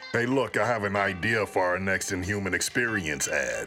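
Over clear music in the background, a man does a put-on character voice, fairly low in pitch, at a moderate pace and very even loudness. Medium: comedy sketch. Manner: casual, hip slang.

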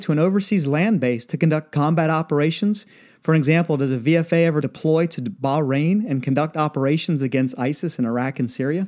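In a very clean recording with a silent background, a man uses a plain, everyday voice at fairly high pitch, with ordinary pitch variation and a fairly quick pace. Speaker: podcast co-host, former pilot. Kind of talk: casual chat.

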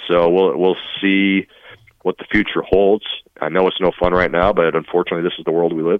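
In a very deep, low voice with monotone, flat intonation, a man speaks at a fairly quick pace. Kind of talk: casual interview chat.

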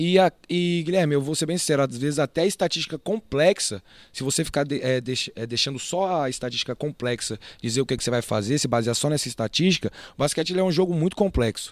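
Talking at a very fast pace with lively intonation, a man with a fairly high pitch is heard in a very clean, dry, close recording with no echo and a silent background. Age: 20s. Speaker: basketball assistant coach. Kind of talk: casual interview.

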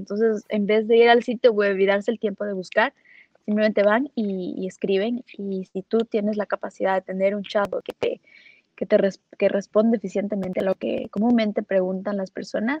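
Speaking in a plain, everyday voice, a woman talks at medium pitch and a moderate pace. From Ecuador. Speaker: digital marketing specialist. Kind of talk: interview on livestream.

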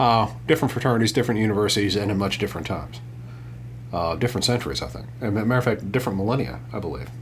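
A man against noticeable background noise. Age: 50s. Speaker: podcast host, finance commentator. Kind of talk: casual chat. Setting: studio.

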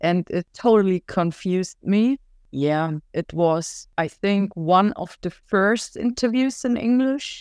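On a very clean recording with a silent background and a dry, close sound with no echo, a woman with a German accent speaks very slowly with lively intonation. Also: medium pitch for a woman. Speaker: punk rock singer. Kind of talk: casual interview chat. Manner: laughs often.

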